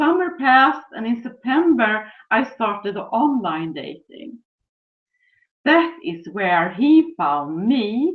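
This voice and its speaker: A woman with a Swedish accent speaks very slowly at a fairly high pitch, with very wide pitch swings and big swings in loudness. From Sweden. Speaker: relationship coach. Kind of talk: webinar presentation.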